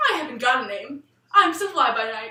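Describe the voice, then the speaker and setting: Putting on a character voice, a woman speaks high in pitch at a fairly quick pace. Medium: read story. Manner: flippant, carefree.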